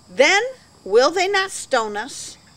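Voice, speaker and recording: The woman's pitch swings very widely while she talks at a fairly slow pace. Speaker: pastor. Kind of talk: sermon. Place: garden.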